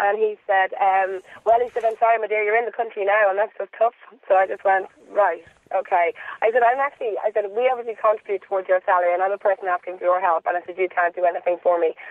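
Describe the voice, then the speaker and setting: Someone speaks at a very fast pace with a Dublin accent. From Dublin, Ireland. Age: 30s. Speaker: caller. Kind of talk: phone-in chat.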